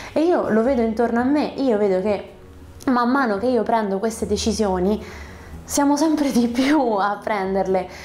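A woman speaks at a moderate pace, her loudness very even and her pitch varying in an ordinary way. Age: 30s. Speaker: YouTuber on screenwriting and storytelling; narrative communication vlogger. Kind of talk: vlog monologue. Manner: animated. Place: home room. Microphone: lapel.

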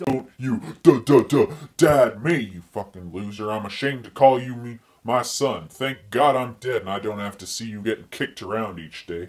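Speaking at a moderate pace with medium pitch, a man shows ordinary pitch variation and big swings in loudness. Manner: furious, contemptuous, swearing.

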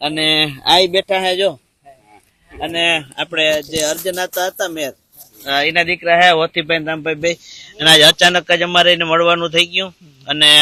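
The recording is dry and close with no echo as a man speaks at a high pitch with monotone, flat intonation. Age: young. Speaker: village life vlogger. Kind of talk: casual vlog narration. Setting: outdoors on a farm.

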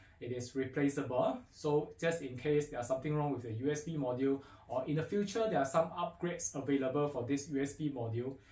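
Very fast delivery with hardly any pauses, ordinary pitch variation, and audible room echo. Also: man, fairly high pitch for a man. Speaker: audio equipment dealer presenter. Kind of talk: product unboxing talk to camera. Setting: faulty microphone. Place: studio.

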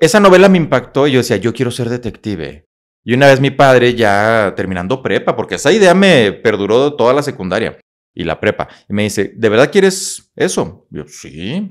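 A man's animated voice with a northern Mexican accent, medium pitch and very wide pitch swings, at a moderate pace against a quiet background. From Mexico, Coahuila (Monclova, Saltillo); Coahuila, Mexico. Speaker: motivational speaker and psychologist; motivational speaker. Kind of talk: interview, life story. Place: studio. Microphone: studio mic.

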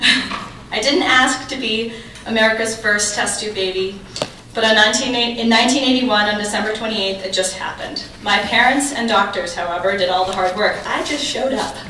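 At a fairly high pitch and moderate pace, a woman speaks with ordinary pitch variation. Audible room echo and light background noise are present. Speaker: keynote speaker, journalist. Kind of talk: prepared keynote speech. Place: hall.

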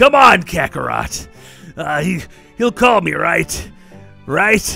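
With faint music in the background, a man uses a put-on character voice at a very slow pace. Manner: forlorn, whiny, then hopeful.

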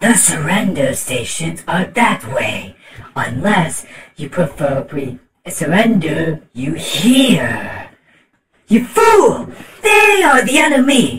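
In a put-on character voice at a middle pitch, the speaker talks at a very slow pace. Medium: voice reel. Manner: angry, sneering.

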